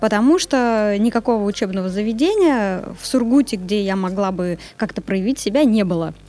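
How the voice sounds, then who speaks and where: A woman's fairly high voice with a dark, mellow tone, at a moderate pace with ordinary pitch variation and hardly any pauses. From Kyrgyzstan, then Surgut, Russia. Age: 20s. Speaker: SMM agency director. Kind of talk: interview.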